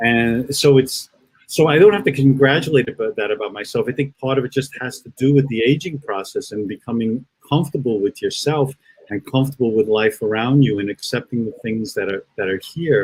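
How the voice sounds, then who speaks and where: A somewhat breathy man at a fairly quick pace, with a dry, close sound and no echo. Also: medium pitch for a man, ordinary pitch variation. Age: 60s. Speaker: spiritist speaker. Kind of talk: virtual talk with Q&A. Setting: online live broadcast. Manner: halting, many repetitions.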